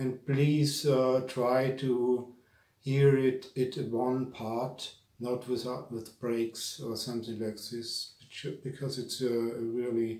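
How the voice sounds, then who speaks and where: A man with a German accent speaks very slowly in a monotone, flat intonation, with audible room echo. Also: medium pitch for a man. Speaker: spiritual teacher. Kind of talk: lecture. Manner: halting.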